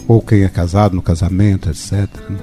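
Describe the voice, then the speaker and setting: Music plays in the background as a man talks at a fairly quick pace. His pitch is very deep and low, with ordinary pitch variation. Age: 60s. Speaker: bioenergetic therapist. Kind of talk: radio interview.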